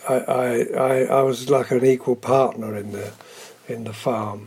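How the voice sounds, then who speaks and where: Over noticeable background noise, a man of medium pitch with a southern English accent speaks at a fairly slow pace in a monotone, flat intonation, with long, frequent pauses and big swings in loudness. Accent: southern English, drama-school trained. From southern England. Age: 80s+. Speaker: veteran soap actor. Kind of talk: interview.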